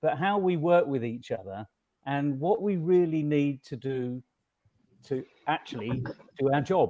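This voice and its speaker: Over a quiet background, a man talks at a moderate pace in a normal speaking voice. His pitch is fairly high, and his intonation is lively. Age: 60s. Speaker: conference panelist. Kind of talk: panel discussion.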